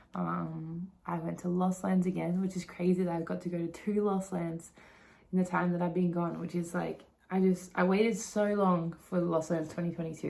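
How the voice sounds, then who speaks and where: Speaking with an Australian accent, a woman uses a fairly low pitch at a moderate pace. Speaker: vlogger. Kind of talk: casual vlog recap. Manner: animated, filler-heavy.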